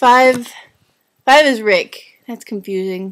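A woman's fairly high voice at a slow pace, with ordinary pitch variation

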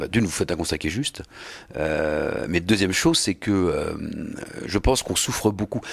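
Against a quiet background, a man with a fairly low pitch speaks at a moderate pace with lively intonation. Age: 50s. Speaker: mayor. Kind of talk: interview. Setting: mayor's office. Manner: halting, frequent repetitions and hesitations. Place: office. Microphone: handheld.

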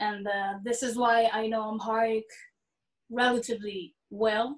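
A woman with a fairly high pitch speaks in a monotone, flat intonation at a very slow pace over a quiet background. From northern Israel. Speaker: singer-songwriter; panelist. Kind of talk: panel discussion. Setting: video call. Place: home room. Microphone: video call.

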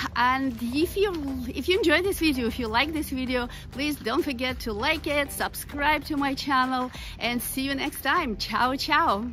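A woman's raised, projected voice at a moderate pace with ordinary pitch variation, dry with no echo, over light background noise. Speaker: travel vlogger. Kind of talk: casual vlog chat. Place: street. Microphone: phone near.

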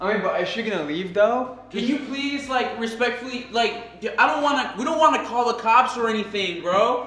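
In a room with audible echo, a man uses a raised, projected voice with ordinary pitch variation, going at a moderate pace with hardly any pauses. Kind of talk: agitated staged skit talk. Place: home room. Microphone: camera far.

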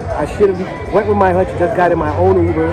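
A man speaking at a fairly quick pace, music in the background and a dry sound with no echo. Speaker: travel vlogger. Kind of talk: casual vlog chat. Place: bar. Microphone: phone near.

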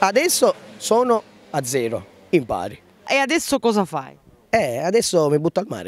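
A man's pitch swings very widely, and the sound is dry with no echo. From Sicily. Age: 20s. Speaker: farmer. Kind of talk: street interview. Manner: animated. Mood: frustrated, aggrieved. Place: street. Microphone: handheld.

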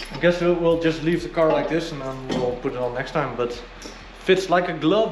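A man speaks at a moderate pace with ordinary pitch variation. Music plays in the background. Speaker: car hobbyist vlogger. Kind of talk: casual vlog chat. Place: garage. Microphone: phone near.

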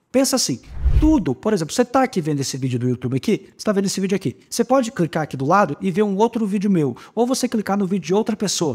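A high-pitched man at a very fast pace, with very wide pitch swings. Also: quiet background. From southern Brazil. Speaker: YouTuber teaching e-commerce advertising. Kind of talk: tutorial. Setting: home studio recording. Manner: animated, casual. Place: home room.

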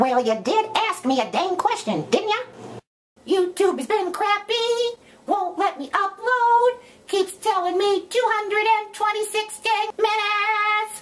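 With ordinary pitch variation, the woman speaks at an extremely high pitch. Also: fairly slow pace. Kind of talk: comic character vlog. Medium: solo performance.

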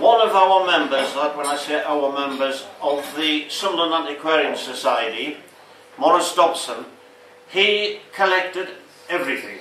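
Light background noise and audible room echo surround a man talking at a moderate pace. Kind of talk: talk to an audience with slides. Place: bar. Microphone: camera far.

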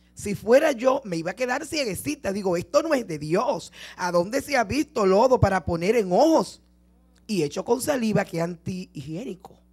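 Moderate-paced speech against a quiet background. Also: woman. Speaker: preacher. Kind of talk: sermon. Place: church. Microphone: handheld.

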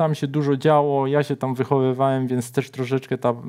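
At a moderate pace, a man talks with a medium pitch and a monotone, flat intonation. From Szczecin, Poland; Poland. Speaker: writer; guest. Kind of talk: casual chat. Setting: studio. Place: studio. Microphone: lapel.

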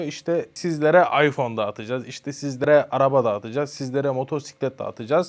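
An ordinary speaking voice moves at a fairly quick pace with ordinary pitch variation against a quiet background. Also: man. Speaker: social media content creator. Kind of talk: casual interview.

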